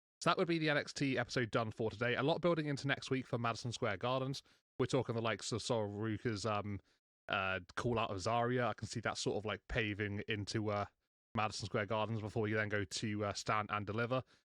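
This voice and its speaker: Over a quiet background, a man speaks very fast at a medium pitch with ordinary pitch variation, the sound dry and close with no echo. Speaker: wrestling recap youtuber. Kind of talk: solo show recap. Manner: filler-heavy, halting.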